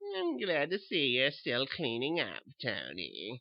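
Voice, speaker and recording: Using a put-on character voice, a man talks at a medium pitch and a fairly slow pace. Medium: read story. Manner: sweet, knowing, quietly mocking.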